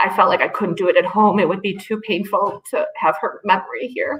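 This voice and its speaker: A woman at a medium pitch and moderate pace, an ordinary speaking voice. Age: 40s. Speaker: pet owner sharing story. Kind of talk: testimony.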